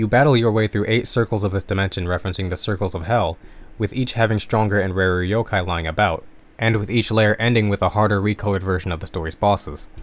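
Fairly low in pitch, a man speaks at a very fast pace. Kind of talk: video essay narration. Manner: monotone.

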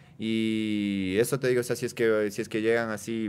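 His intonation stays fairly even. The man's voice is fairly low in pitch. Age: 20s. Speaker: tattoo artist. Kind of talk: casual chat. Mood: relaxed, slangy. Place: studio. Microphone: studio mic.

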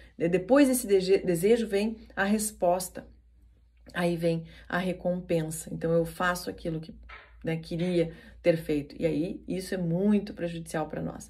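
Her voice somewhat breathy and dark, mellow in tone, a woman speaks at a fairly slow pace in a fairly low pitch with ordinary pitch variation. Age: 40s. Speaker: NLP coach and podcast host. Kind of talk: motivational talk.

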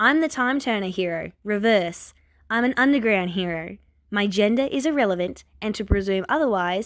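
Natural-voiced reading aloud

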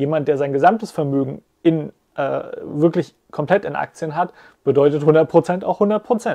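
The voice has a dark, mellow tone against a quiet background. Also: man, fairly high pitch for a man, ordinary pitch variation, fairly slow pace. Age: 30s. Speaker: finance YouTuber; finance youtuber. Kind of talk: casual explainer monologue. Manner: hesitant, many filler sounds. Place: home room.

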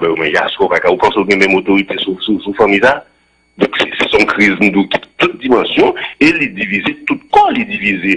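Against a quiet background, a man is speaking. His pace is moderate. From Haiti. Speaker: former senator; studio guest or host. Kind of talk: radio interview. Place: studio. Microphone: studio mic.

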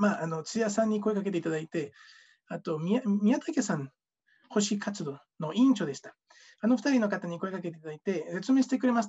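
Against a quiet background, the voice moves at a fairly quick pace with lively intonation and big swings in loudness. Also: man, high pitch for a man. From Mexico. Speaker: former scholarship student. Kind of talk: testimony. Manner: halting. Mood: warm, grateful, smiling. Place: home room. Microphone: webcam.

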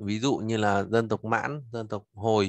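Fairly low-pitched man in a dry recording with no echo and a quiet background. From Vietnam. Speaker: Chinese language teacher. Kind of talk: lecture. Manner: halting. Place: home room. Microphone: webcam.

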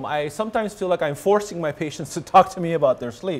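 This man has a high-pitched voice. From Hawaii. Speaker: rheumatologist; presenter. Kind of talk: lecture. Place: hall. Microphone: podium.

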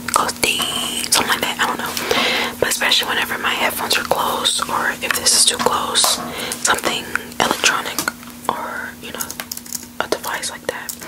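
Someone is whispering at a moderate pace. Long, frequent pauses break up the speech. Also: woman. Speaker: ASMR streamer. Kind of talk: casual ASMR chat, soft-spoken. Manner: soft, close-miked ASMR voice. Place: home room. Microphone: studio mic.

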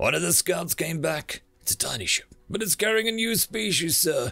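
A man's put-on character voice, fairly high with vocal fry, bright and sharp, lively in intonation, at a moderate pace over faint background music.

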